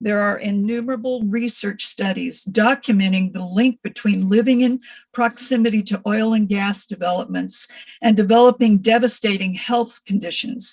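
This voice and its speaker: Fairly high, slightly breathy female voice with fairly even intonation. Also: moderate pace. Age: 70s. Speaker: retired nurse, public commenter. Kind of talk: public hearing comment.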